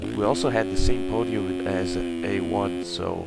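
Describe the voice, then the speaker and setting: A man with a very deep, low pitch speaks over music in the background. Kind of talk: casual commentary recap.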